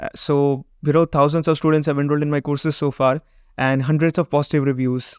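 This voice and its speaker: A man with a Gujarati accent speaks very fast in a fairly high, monotone, flat voice, the sound dry and close with no echo over a quiet background. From Gujarat, India. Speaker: web design and SEO agency owner, YouTuber. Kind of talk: vlog intro monologue, mixed Hindi and English.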